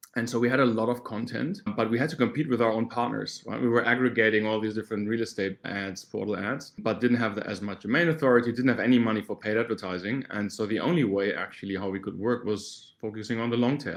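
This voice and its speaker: A man at medium pitch moves along at a fairly quick pace, his intonation fairly even. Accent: German. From Germany. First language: German. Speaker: startup founder and search marketing expert. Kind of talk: interview.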